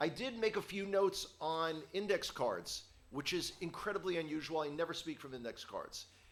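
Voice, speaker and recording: Speaking at a moderate pace, a man uses a high pitch with ordinary variation. His tone is bright and sharp. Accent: New York. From New York, the Bronx. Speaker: guest teacher. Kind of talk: sermon.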